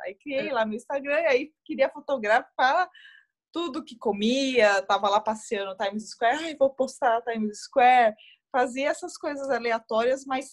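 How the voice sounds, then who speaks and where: A fairly slow, high-pitched female voice with ordinary pitch variation. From Brazil, Guarulhos (São Paulo state). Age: 30s. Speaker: running influencer and executive. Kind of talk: interview conversation.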